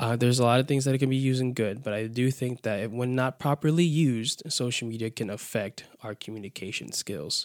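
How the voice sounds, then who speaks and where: The speech comes at a very fast pace with hardly any pauses and ordinary pitch variation, in a dry, close sound with no echo. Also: man, medium pitch for a man. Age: 20s. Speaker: podcast host and youth minister. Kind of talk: casual solo podcast talk. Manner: upbeat, lively. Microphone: new microphone.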